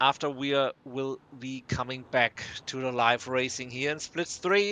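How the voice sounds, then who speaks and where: The recording has a dry, close sound with no echo. A man speaks fairly slowly in a bright, sharp tone. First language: German. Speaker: sim racing commentator. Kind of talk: live commentary. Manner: hesitant, many fillers and restarts.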